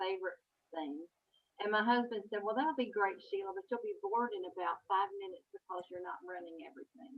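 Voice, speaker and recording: Here a woman talks with a Southern US accent. Her intonation is lively. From Kentucky. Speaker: author. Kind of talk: interview. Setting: video call.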